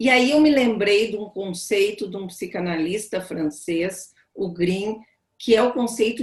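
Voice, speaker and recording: Pitched fairly high, a woman speaks somewhat breathily at a fairly slow pace with ordinary pitch variation. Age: 60s. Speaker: psychoanalyst. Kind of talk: panel talk on video call. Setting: video call.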